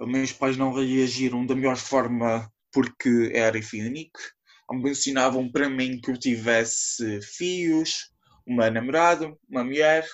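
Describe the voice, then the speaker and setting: A man talks at a fairly slow pace with fairly even intonation. His pitch is medium. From Azores, São Miguel. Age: 20s. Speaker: podcast guest. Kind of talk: personal testimony.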